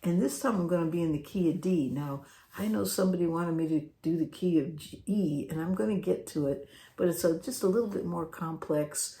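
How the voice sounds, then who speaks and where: A soft-spoken woman talks at a fairly quick pace in a fairly low, dark, mellow voice. Her intonation is lively. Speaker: guitar teacher. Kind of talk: tutorial. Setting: home, late at night. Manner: soft-spoken, talking low.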